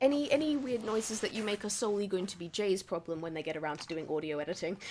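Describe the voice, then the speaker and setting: A woman with a medium-pitched voice talks very fast with lively intonation. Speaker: game master. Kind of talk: casual chat.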